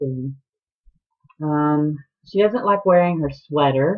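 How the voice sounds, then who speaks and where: A woman with a very deep, low voice speaks in a Southern US accent with ordinary pitch variation. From US South, Atlanta, Georgia. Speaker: knitting podcaster. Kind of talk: casual chat. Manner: hesitant, many ums.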